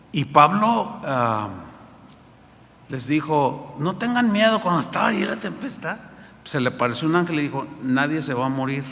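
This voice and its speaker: A man with a fairly high pitch speaks with very wide pitch swings and long, frequent pauses. Audible room echo surrounds him. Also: moderate pace. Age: 60s. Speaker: pastor. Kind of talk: sermon. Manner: halting, with repetitions.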